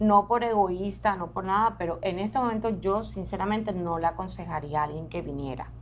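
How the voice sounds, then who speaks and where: The woman talks at a fairly quick pace. Audible room echo is present. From Colombian Caribbean coast, Barranquilla. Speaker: journalist. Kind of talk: interview. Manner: conversational.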